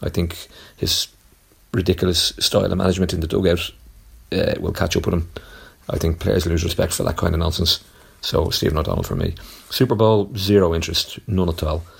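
A man with a very deep, low, somewhat breathy voice talks at a fairly quick pace. His intonation is fairly even, broken by long, frequent pauses. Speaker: caller and audio describer. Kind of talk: casual chat.

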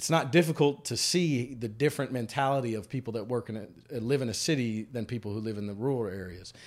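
A medium-pitched man with a Louisiana accent at a fairly quick pace, ordinary pitch variation, on a very clean recording with a silent background. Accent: Louisiana Southern. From central Louisiana. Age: 40s. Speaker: congressional candidate. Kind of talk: interview. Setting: barbershop.

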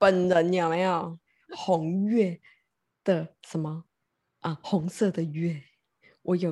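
A woman speaks very slowly in a fairly low, dark, mellow voice with monotone, flat intonation and long, frequent pauses. The sound is dry and close, with no echo. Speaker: tarot reader turned love board game coach. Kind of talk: casual chat.

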